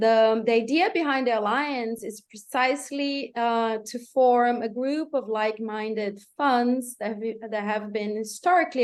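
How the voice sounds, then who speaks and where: Against a quiet background, a woman with a Portuguese accent talks at a moderate pace with ordinary pitch variation. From Brazil. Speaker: climate funds network coordinator. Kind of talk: panel talk on video call.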